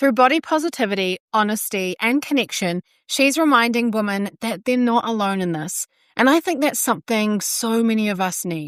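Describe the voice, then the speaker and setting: A woman's fairly high voice, an ordinary speaking voice, with lively intonation at a moderate pace and a dry, close sound with no echo. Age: 30s. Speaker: podcast host, nutritionist and personal trainer. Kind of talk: podcast interview; scripted intro. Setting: online call.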